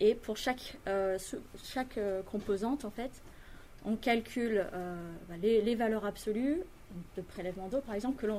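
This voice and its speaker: Fairly high in pitch yet dark and mellow in tone, a woman speaks at a fairly slow pace. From France and Britain (Franco-British). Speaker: industrial environmental engineer. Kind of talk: interview explanation.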